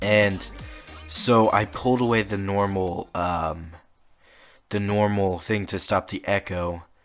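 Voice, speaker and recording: In a very clean recording with a silent background, a man speaks quietly with fairly low pitch. His delivery is monotone, flat and very slow. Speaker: podcast host. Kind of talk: casual monologue. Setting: home room. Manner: hesitant, many fillers. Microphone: close to the microphone.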